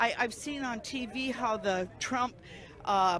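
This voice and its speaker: At a very slow pace, a woman speaks in a high voice with ordinary pitch variation. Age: 70s. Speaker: protester at a political rally. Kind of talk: street interview. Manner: halting.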